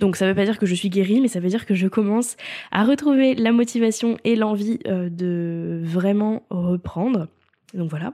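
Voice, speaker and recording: A woman with a medium pitch, a dark, mellow tone and ordinary pitch variation at a moderate pace, in a very clean recording with a silent background. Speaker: podcast host and freelance content coach. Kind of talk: solo podcast monologue.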